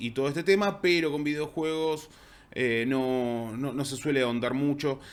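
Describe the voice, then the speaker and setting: A man with an Argentine accent and medium pitch talks at a fairly slow pace with ordinary pitch variation, his voice carrying audible room echo. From Argentina. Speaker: university lecturer and game designer. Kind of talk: conference talk.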